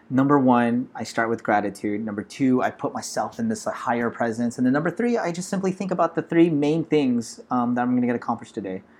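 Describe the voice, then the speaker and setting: At a very fast clip with hardly any pauses, a man with an American accent talks at a medium pitch with lively intonation. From US West Coast, Los Angeles. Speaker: tech startup founder. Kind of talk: interview. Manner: animated.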